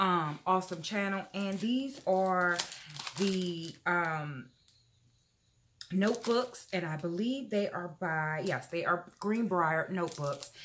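At a very slow pace, a woman of medium pitch speaks with ordinary pitch variation. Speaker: YouTuber. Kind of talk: haul video, casual talk to camera. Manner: animated.

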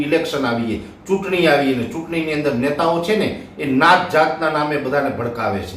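Audible room echo surrounds a man's fairly high voice. Light background noise is present. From Gujarat, Junagadh district; Gujarat. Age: 40s. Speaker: weather forecaster. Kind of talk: video monologue. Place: home room.

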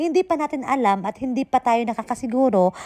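A high-pitched woman's voice at a moderate pace, lively in intonation and animated in tone, with a dry, close sound and no echo. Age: 40s. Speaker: vlogger and overseas worker. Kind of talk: casual vlog monologue. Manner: animated, frequent laughter.

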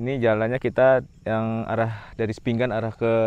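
A man with a fairly low pitch at a fairly slow pace, in a dry sound with no echo. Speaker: travel vlogger. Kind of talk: casual vlog chat. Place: open country. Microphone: phone near.

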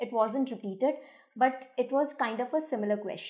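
Against a quiet background, the speaker keeps a moderate pace and fairly even intonation. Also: woman. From India. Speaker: school English teacher. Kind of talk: exam paper analysis. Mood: calm, explanatory. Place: office.

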